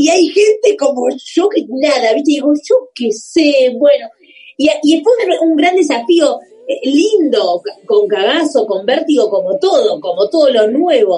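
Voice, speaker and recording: A woman with a high pitch and a dark, mellow tone speaks at a fairly slow pace through very wide pitch swings. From Argentina, Buenos Aires southern suburbs (Banfield). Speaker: comedian. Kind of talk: casual chat.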